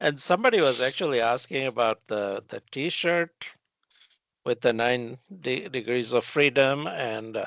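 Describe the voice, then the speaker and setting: A man with a non-native accent speaks at a fairly slow pace with ordinary pitch variation. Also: medium pitch for a man. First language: not English. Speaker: metrology and quality consultant. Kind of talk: casual podcast conversation. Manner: hesitant, many fillers.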